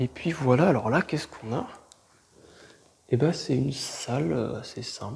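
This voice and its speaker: Ordinary pitch variation in a man's voice pitched at a medium level. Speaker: urban explorer vlogger. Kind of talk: exploration vlog commentary; scripted narration.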